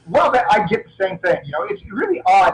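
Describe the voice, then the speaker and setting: Against noticeable background noise, a man with an American accent talks at a fairly quick pace with lively intonation. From Florida, US South. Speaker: martial artist and action film actor. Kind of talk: interview. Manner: halting, repeats words.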